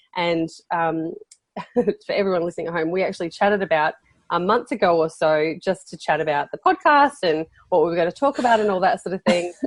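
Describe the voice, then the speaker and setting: A woman's fairly low-pitched voice with an Australian accent at a fairly quick pace, dry and close with no echo. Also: ordinary pitch variation. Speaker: podcast host. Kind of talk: casual interview chat. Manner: hesitant, many fillers.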